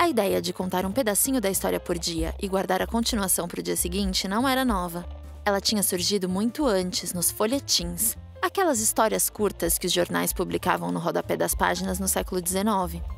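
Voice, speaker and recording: A woman speaks at a fairly quick pace. Music plays in the background. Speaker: voice actor. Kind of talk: informative podcast narration.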